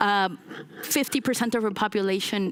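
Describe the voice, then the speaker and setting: A woman talks at a medium pitch. Noticeable background noise runs under her voice. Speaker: urban innovation lab director. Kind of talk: conference talk. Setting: stage with audience. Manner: loud.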